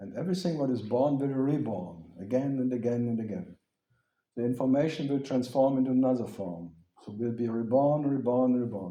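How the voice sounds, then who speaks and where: Audible room echo surrounds a man whose medium-pitched voice has a dark, mellow tone, ordinary pitch variation and a fairly quick pace. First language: German. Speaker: spiritual teacher. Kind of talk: question-and-answer talk with audience.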